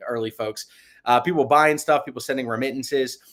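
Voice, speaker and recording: The recording is very clean with a silent background. A man at medium pitch talks at a very fast pace. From New York. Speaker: product lead at a crypto company. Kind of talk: presentation.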